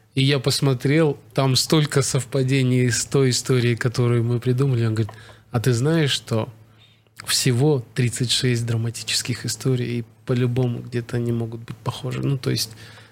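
A man talks at a medium pitch in a monotone, flat intonation. His voice is somewhat breathy. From Kazakhstan. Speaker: actor and screenwriter. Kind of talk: casual chat.

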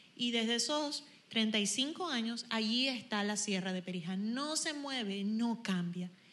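A woman with a fairly high pitch and lively intonation speaks at a very slow pace. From Venezuela, Zulia (Machiques). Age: 40s. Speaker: worship leader. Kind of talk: worship exhortation.

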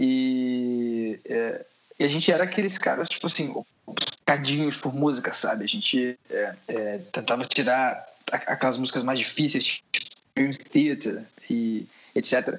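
A man at medium pitch, fairly slow in pace, with long, frequent pauses and ordinary pitch variation. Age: 20s. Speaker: musician and music producer. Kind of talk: casual interview chat. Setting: Skype call.

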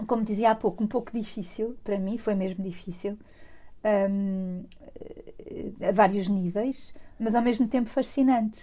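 A woman's fairly high, somewhat breathy voice with a dark, mellow tone, fairly even intonation, a fairly slow pace, and long, frequent pauses. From Portugal, Lisbon. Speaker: museum director. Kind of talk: interview.

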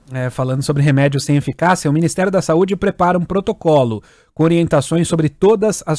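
A man with a dark, mellow tone talks at a fairly quick pace with ordinary pitch variation, in a dry, close sound with no echo. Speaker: radio news reader. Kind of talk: news reading. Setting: radio studio.

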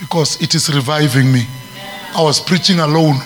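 Over music in the background, a man with a fairly high pitch speaks at a moderate pace in an animated tone with ordinary pitch variation. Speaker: preacher. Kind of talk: fervent prayer with glossolalia, preaching over a call-and-response congregation. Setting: church with congregation. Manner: animated, exhorting.

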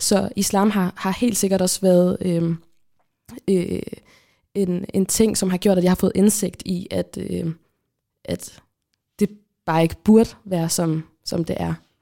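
A woman with a dark, mellow tone speaks at medium pitch in a flat monotone. Her pace is very slow, with long, frequent pauses. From Kalundborg, Denmark. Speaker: podcast host, student. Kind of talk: casual chat.

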